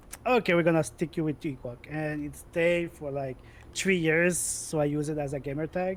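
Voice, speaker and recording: A man with a Quebec accent speaks at a fairly slow pace, his fairly high voice showing ordinary pitch variation. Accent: French Canadian accent in English. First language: French. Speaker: gamer, esports player. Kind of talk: interview chat. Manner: loud.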